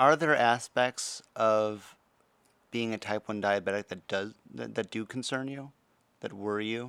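The recording is very clean, dry and close, with no echo and a silent background. A man with an ordinary speaking voice talks at a fairly slow pace, medium in pitch with ordinary variation. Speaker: interviewer with type one diabetes. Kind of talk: casual conversation.

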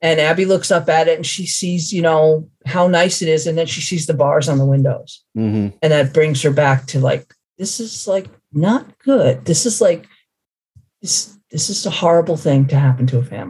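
In a very deep, low pitch, a somewhat breathy woman speaks at a moderate pace with lively intonation. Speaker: author. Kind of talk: interview. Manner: halting.

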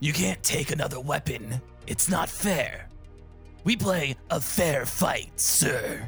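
In a put-on character voice at a middle pitch, someone speaks at a fairly slow pace over clear background music. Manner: smug, dismissive.

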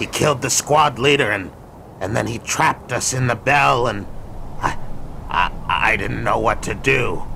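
A man puts on a character voice at a medium pitch. He goes at a fairly slow pace amid clear background noise. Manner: nervous, pleading.

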